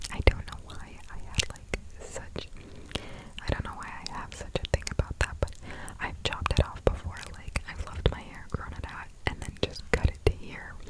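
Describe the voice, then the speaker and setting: A breathy, whispering woman at a fairly slow pace, with noticeable background noise. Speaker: ASMR content creator. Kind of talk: whispered ASMR ramble. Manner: whispered, soft, breathy.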